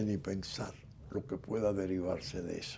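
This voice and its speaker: A man is talking. His pitch is fairly low. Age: 80s+. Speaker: political figure and commentator. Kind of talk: interview.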